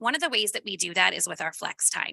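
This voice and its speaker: A woman with a bright, sharp tone and vocal fry speaks at a moderate pace, the sound dry and close with no echo. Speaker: school principal. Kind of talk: presentation. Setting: school board meeting. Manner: loud.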